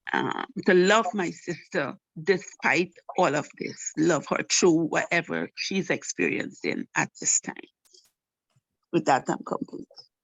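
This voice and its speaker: Vocal fry marks a woman's speech, delivered at a very slow pace. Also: fairly low pitch for a woman, lively intonation. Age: 60s. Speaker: participant. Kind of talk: testimony. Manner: halting.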